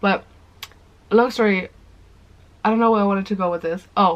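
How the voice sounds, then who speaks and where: At a very fast pace, a woman talks in a medium pitch. Her intonation is fairly even. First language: German. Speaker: vlogger. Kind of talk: casual chat. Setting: sitting on the floor at home. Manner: fast, rambling.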